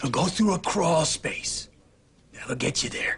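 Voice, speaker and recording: Putting on a raspy character voice, a man speaks at a fairly slow pace and a high pitch. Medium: short film. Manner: terse, quiet.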